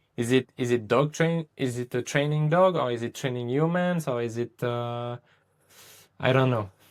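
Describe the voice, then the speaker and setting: A man's medium-pitched voice with a French accent, ordinary pitch variation and a moderate pace, in a dry, close sound with no echo. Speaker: dog trainer. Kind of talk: casual interview chat. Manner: halting.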